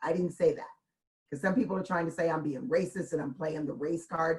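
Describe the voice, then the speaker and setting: Somewhat breathy and with lively intonation, a woman speaks with an American accent. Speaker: blues singer. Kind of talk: interview chat.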